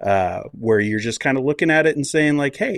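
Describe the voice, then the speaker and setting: A man with an American accent and a plain, everyday voice talks at a fairly quick pace and fairly high pitch with ordinary pitch variation over a quiet background. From United States. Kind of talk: casual chat.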